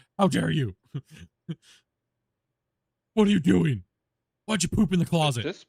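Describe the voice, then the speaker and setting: A man performs a put-on character voice in a fairly high pitch with very wide pitch swings. He keeps a moderate pace broken by long, frequent pauses. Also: dry, close sound with no echo. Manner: stern, reprimanding.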